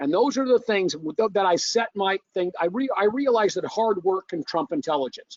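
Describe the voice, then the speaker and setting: A man talks at a moderate pace with a high pitch. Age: 60s. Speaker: fitness company owner and industry veteran. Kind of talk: interview.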